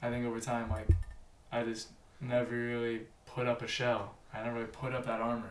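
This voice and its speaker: A man speaks at a fairly quick pace. There is noticeable background noise and audible room echo. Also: medium pitch for a man. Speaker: podcast guest. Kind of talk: casual chat. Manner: loud; animated.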